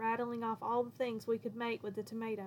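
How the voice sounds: A natural reading voice carries this clip.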